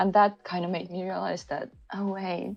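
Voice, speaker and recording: With a Finnish accent, a woman speaks at a moderate pace in a medium-pitched voice. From Finland. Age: 30s. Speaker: podcast guest, creative. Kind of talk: casual chat.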